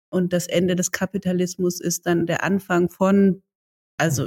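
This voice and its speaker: A woman speaks at a moderate pace, somewhat breathy. The sound is dry and close with no echo. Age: 40s. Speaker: podcast host and entrepreneur. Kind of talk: interview.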